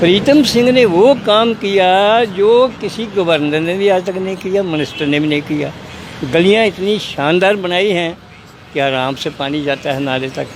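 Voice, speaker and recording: A man speaks in a high voice with lively intonation. Noticeable background noise runs beneath him. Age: 80s+. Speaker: local resident. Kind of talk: street interview. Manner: animated.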